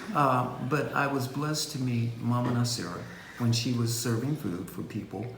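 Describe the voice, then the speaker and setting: With noticeable background noise and audible room echo, a man talks at a moderate pace, medium pitch and ordinary pitch variation. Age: old. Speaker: vegan cookbook author. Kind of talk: panel discussion.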